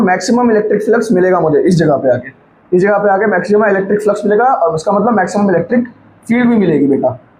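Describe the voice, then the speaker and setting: There is noticeable background noise. A man talks very fast at a high pitch with ordinary pitch variation. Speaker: physics teacher. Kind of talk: lecture. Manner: repetitive, conversational.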